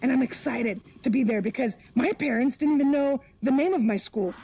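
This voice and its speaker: A woman speaks over noticeable background noise. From former Soviet Union. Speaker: stand-up comedian. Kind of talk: stand-up.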